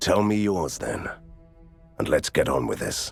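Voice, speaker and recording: With faint music in the background, a man uses a put-on character voice at a fairly low pitch and a moderate pace. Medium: video game. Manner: deadpan, sarcastic.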